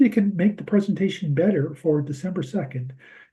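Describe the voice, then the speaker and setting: Dark and mellow in tone, a man's voice sounds somewhat breathy and has lively intonation. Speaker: systems engineering researcher. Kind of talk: presentation rehearsal. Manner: halting, many repetitions. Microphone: too quiet.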